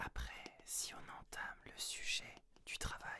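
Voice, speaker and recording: A man speaks in a whisper. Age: 30s. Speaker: ASMR creator and medical secretary. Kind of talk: ASMR FAQ, intimate casual talk to camera. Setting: studio, close-mic. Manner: whispered, soft-spoken.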